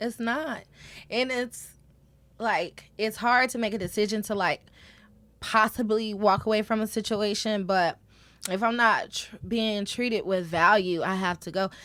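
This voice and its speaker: With a bright, sharp tone and fairly high pitch, a woman speaks at a fairly slow pace with fairly even intonation in a very clean recording with a silent background. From Atlanta, Georgia. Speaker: radio personality. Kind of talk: casual interview chat.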